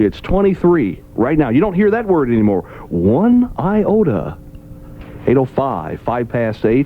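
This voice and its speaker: Over noticeable background noise, a man speaks at a fairly slow pace, his fairly high voice making very wide pitch swings. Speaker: radio morning show host. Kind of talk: radio morning show banter, top-40 station aircheck. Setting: broadcast radio studio.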